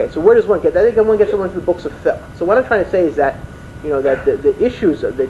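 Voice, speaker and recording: A man is talking, and his accent is American. Behind him, music can be heard. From Washington DC, USA. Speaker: Islamic lecturer. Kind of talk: religious lecture.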